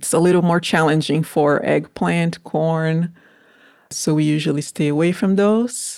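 In a very clean recording with a silent background, a woman speaks fairly slowly at a fairly low pitch, with ordinary pitch variation and very even loudness. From Brazil. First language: Portuguese. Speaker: farm manager. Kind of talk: interview.

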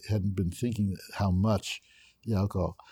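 A man speaks at a fairly quick pace with a fairly low pitch, fairly even intonation, and a dark, mellow, somewhat breathy tone. The recording is very clean, with a silent background. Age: 70s. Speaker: recovering alcoholic sharing his story. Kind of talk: interview testimony. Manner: halting.

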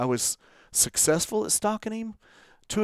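Speaking at a moderate pace, a man uses a plain, everyday voice with lively intonation. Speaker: hunter and podcast host. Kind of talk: casual chat.

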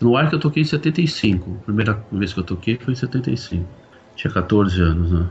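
Using an ordinary speaking voice, this man delivers lively intonation at a moderate pace. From São Paulo, Brazil. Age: 50s. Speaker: conductor. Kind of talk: casual chat.

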